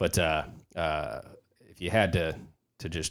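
A man with a very deep, low voice and an American accent. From California. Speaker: podcast host and police officer. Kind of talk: casual chat. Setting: studio. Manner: filler-heavy, halting.

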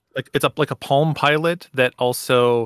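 Recorded dry and close with no echo in a very clean recording with a silent background, a man uses an ordinary speaking voice at a medium pitch with ordinary pitch variation. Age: 30s. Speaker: podcaster and game collector. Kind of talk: casual chat.

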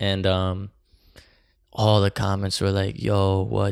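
A man with a New Jersey accent, fairly low in pitch, at a fairly slow pace with monotone, flat intonation, on a very clean recording with a silent background. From New Jersey, Bergen County. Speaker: rapper. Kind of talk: casual chat. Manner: casual slangy speech with many fillers.

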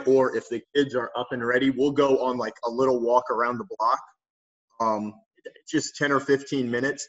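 With a Midwestern American accent, a man speaks at a moderate pace and medium pitch, his intonation fairly even. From northwest Ohio. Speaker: PE teacher and coach. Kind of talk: casual interview.

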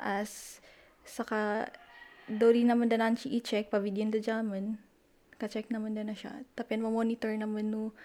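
With a Batanes accent, the speaker talks at a fairly slow pace in a dark, mellow tone with monotone, flat intonation. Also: woman. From Philippines, Batanes (Sabtang). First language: Ivatan (speaking Tagalog). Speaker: math teacher. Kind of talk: interview.

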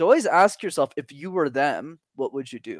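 The sound is dry and close with no echo, and the recording is very clean with a silent background. A man with an ordinary speaking voice talks at a fairly quick pace with ordinary pitch variation. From Montreal, Canada. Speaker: public speaking coach. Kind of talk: interview conversation.

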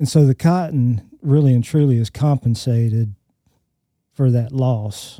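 A man with an Alabama accent speaks at a fairly slow pace in a medium pitch with a dark, mellow tone, ordinary pitch variation and very even loudness, the sound dry and close with no echo. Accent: Southern US (Alabama). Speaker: crop entomologist. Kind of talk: casual technical discussion. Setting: studio.

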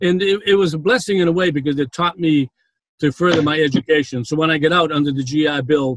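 With a Boston accent, a man talks at a fairly quick pace with ordinary pitch variation in a dry, close sound with no echo. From Boston, Massachusetts. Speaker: prison ministry founder, former banker. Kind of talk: interview, testimony. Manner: hesitant, with frequent fillers.

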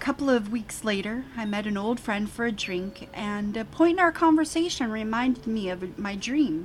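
A natural reading voice carries lively intonation.

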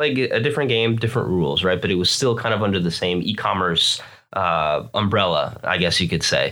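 With an American accent, a plain, everyday voice moves at a fairly quick pace with lively intonation and very even loudness. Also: man, fairly low pitch for a man. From Florida, US. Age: 20s. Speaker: online seller, entrepreneur. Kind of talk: casual interview chat. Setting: studio.

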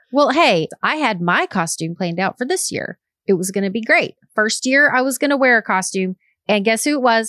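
A woman's fairly high, bright, sharp voice with very wide pitch swings at a fairly quick pace, on a very clean recording with a silent background and a dry, close sound with no echo. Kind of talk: casual chat.

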